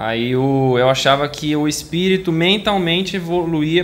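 A fairly high-pitched man with ordinary pitch variation, heard with audible room echo. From São Paulo city, Brazil. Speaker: audience member asking a question. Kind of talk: audience question at a spiritual lecture.

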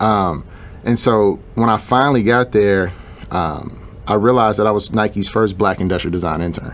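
A man with an ordinary speaking voice talks at a moderate pace, fairly low in pitch with ordinary pitch variation. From Chicago, US Midwest. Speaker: shoe designer and entrepreneur. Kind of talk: interview.

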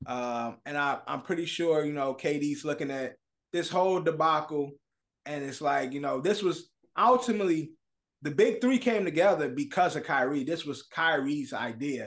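A man with a normal speaking voice talks at a moderate pace, his fairly high pitch rising and falling in a lively way. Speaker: podcast host. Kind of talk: casual banter, sports talk.

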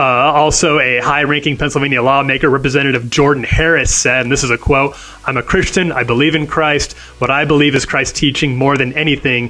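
Through noticeable background noise, a man with a fairly high pitch talks at a fairly quick pace in a monotone, flat intonation at very even loudness. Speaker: senior editor, co-host. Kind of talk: news podcast banter. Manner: casual, halting, with filler words.

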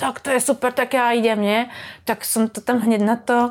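This woman has a plain, everyday voice, fairly high in pitch, speaking at a fairly quick pace with fairly even intonation. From Slovakia. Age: 40s. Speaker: surfer. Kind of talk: casual chat.

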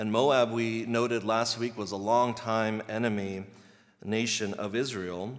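A man with an American accent speaks, and audible room echo surrounds him. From US East Coast, Virginia. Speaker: pastor. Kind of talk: sermon.

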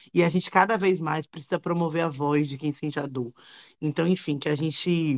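Intonation stays fairly even while the delivery holds a moderate pace. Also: woman. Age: 30s. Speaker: lawyer and activist. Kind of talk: live panel discussion.

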